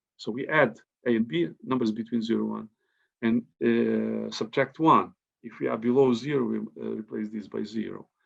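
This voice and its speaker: A man with a Ukrainian accent speaks at a moderate pace. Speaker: mathematician. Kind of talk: conference talk. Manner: halting.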